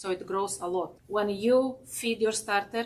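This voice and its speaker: A woman with a non-native accent speaks at a fairly slow pace, her pitch in the medium range. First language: not English. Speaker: baking instructor. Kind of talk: cooking demonstration. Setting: class with live audience. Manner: halting.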